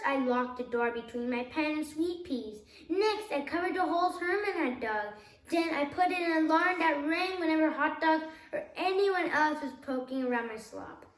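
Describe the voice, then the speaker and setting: A woman puts on a whiny, high-pitched character voice with a slight echo around it. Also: moderate pace. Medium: read story.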